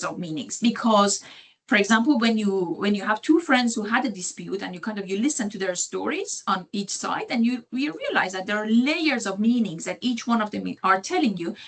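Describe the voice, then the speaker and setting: Noticeable background noise sits behind a woman with a non-native accent and a fairly high pitch. She talks at a fairly quick pace with lively intonation. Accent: non-native English speaker, audible. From Iran. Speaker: sociology lecturer. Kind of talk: lecture. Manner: halting, many fillers and restarts.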